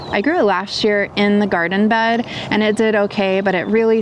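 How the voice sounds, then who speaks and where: With an American accent, a woman talks at a moderate pace and a medium pitch over noticeable background noise. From US Midwest, southwestern Ohio. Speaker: gardening youtuber. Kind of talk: tutorial. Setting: outdoors.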